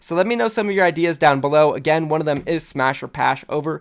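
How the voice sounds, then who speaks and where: A man talks at a very fast pace with ordinary pitch variation. The recording is very clean, with a silent background. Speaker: esports news youtuber. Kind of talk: casual video commentary. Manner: animated.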